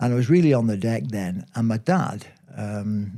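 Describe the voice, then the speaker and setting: This man's voice has a dark, mellow tone. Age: 70s. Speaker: former footballer. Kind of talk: interview. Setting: studio. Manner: hesitant, with many fillers.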